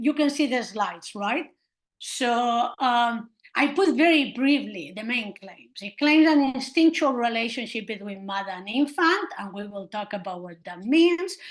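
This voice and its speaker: Against a quiet background, a woman with a high pitch and a non-native accent speaks fairly slowly with lively intonation. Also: big swings in loudness. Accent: noticeable non-native. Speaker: historian of science, university professor. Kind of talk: seminar lecture. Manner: hesitant, with many fillers.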